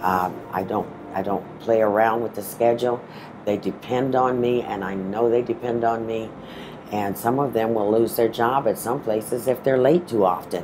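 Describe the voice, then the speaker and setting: Noticeable background noise sits behind a woman speaking at a moderate pace. Her pitch is very deep and low, with fairly even intonation. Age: 60s. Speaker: bus driver. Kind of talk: testimony.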